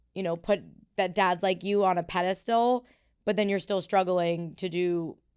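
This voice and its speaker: At a moderate pace and medium pitch, a woman talks in an ordinary speaking voice with fairly even intonation, on a very clean recording with a silent background. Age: 20s. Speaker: therapist. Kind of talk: casual interview chat.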